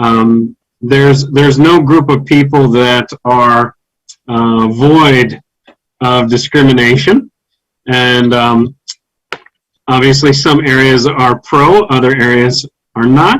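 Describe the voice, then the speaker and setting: Very slowly, a man with an American accent speaks at a medium pitch with fairly even intonation. Long pauses come often, and his loudness stays very even. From US South. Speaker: English teacher. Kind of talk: online seminar discussion.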